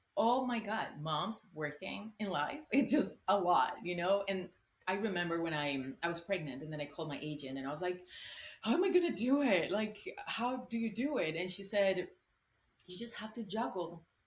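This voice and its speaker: Using a Spanish accent, a woman speaks at medium pitch and a moderate pace, with very wide pitch swings. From Colombia. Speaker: actress. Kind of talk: interview answer.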